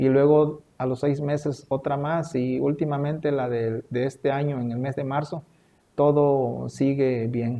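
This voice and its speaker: The speech comes at a fairly slow pace with monotone, flat intonation. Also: man, fairly high pitch for a man. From Veracruz, Mexico. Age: 40s. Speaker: cancer survivor. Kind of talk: interview testimony.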